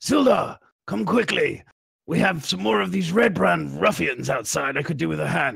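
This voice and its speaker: A man's put-on character voice at a medium pitch and moderate pace. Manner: urgent, calling for help.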